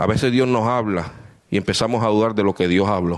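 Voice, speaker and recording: A man is speaking. His pace is fairly quick. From Puerto Rico. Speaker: visiting preacher. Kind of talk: sermon. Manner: animated.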